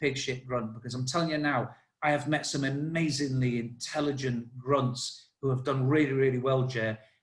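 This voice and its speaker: The man's voice sits at a fairly high pitch and is somewhat breathy. He speaks at a fairly quick pace. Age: 50s. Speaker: army veteran. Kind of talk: casual chat. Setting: podcast interview. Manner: halting.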